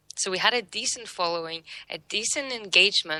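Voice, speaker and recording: At a moderate pace, a woman with a non-native accent talks in a medium pitch and a bright, sharp tone. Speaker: social media marketer. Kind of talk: interview. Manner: halting, many fillers.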